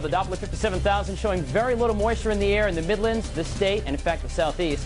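Over clear background music, a man talks at a very fast pace with hardly any pauses. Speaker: TV host. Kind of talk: TV weather forecast. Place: studio.

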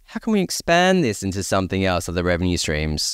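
Fast and full of very wide pitch swings, the voice has a clear, smooth tone on a very clean recording with a silent background. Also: man, low pitch for a man.

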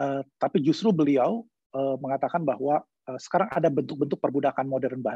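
Speaking at a fairly quick pace with hardly any pauses, a man uses a fairly high pitch and ordinary pitch variation, and the sound is dry with no echo against a quiet background. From Indonesia. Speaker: law professor. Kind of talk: online lecture. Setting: video call. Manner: halting with many fillers. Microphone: video call.

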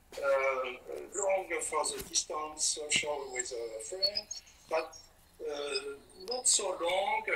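A man talks at a very slow pace. Noticeable background noise runs underneath. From France. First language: French. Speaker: painter. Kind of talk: casual chat. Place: workshop. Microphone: phone near.

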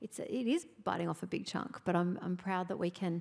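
A woman with an Australian accent and a fairly low pitch. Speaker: state government minister; government minister on panel. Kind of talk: onstage interview. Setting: stage with audience. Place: hall. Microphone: handheld.

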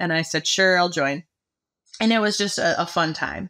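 A woman with an American accent has a bright, sharp tone and ordinary pitch variation on a very clean recording with a silent background. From Michigan, US. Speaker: agricultural marketing manager. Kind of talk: casual interview.

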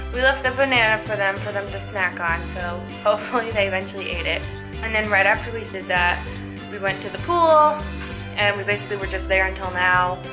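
The speaker keeps a fairly quick pace while clear music plays behind. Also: woman. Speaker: travel vlogger. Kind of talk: casual vlog chat. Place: home room. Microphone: phone near.

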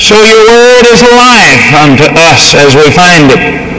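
A man amid loud background noise. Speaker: preacher. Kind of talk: sermon prayer. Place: hall.

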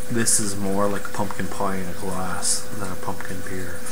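Loud background noise fills the clip. Over it, a man talks. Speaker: beer reviewer. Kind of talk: casual vlog chat. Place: home room. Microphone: webcam.

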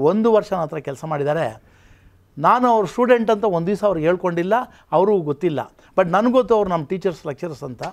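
Here a man speaks at a high pitch. His intonation is lively. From Karnataka, Kolar district (Bangarapet); Karnataka. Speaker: retired college principal; interview guest. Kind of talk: interview. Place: studio. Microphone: lapel.

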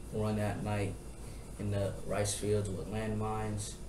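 A man, with noticeable background noise. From Tacoma, Washington. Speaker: child of refugees telling his story. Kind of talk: interview answer. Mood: serious, reflective. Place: classroom. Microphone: camera far.

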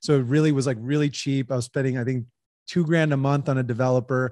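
A man speaks with an American accent and a fairly high pitch. The background is quiet. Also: dry sound with no echo. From US, Los Angeles area. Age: 30s. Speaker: entrepreneur. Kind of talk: interview. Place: home room. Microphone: studio mic.

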